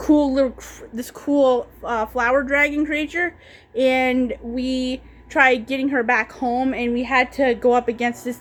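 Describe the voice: This woman's voice sits high, moving at a fairly slow pace with fairly even intonation. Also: few pauses.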